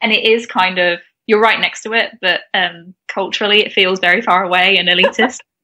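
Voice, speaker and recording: Speaking at a fairly quick pace, a woman keeps a medium pitch and fairly even intonation. Her loudness swings widely. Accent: English Midlands. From England, Warwickshire. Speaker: podcast co-host. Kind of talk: casual chat.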